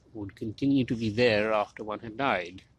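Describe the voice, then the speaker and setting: Fairly even intonation from a man with a plain, everyday voice at medium pitch. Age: middle-aged. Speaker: historian, medieval studies professor. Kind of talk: academic lecture-style monologue.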